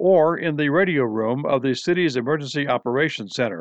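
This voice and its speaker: A plain, everyday voice from a man, fairly high in pitch and fairly quick. Ordinary pitch variation comes through a dry, close sound with no echo over a quiet background. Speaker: news announcer. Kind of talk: scripted news announcement. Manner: formal, crisp, authoritative.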